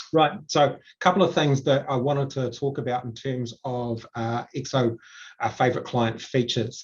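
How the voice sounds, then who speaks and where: This man has a medium-pitched voice that sounds somewhat breathy. His pitch varies in an ordinary way. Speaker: software consultant. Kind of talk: tutorial. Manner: fast.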